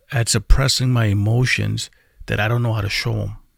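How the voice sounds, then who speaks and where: Somewhat breathy, a man talks at a moderate pace and a medium pitch with fairly even intonation. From Puerto Rico. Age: 40s. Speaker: vlogger. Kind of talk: personal confessional vlog. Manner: halting, many fillers and repeated words.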